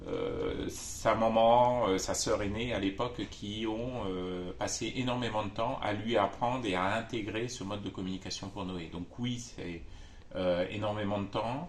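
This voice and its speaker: A man at a fairly low pitch and fairly slow pace, with fairly even intonation and audible room echo. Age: 50s. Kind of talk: testimony. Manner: halting, many hesitations.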